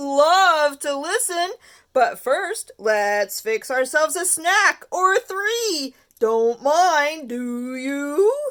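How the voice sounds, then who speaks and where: A put-on character voice, high in pitch, speaks at a very slow pace. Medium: read story. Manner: clipped, chirpy phrases.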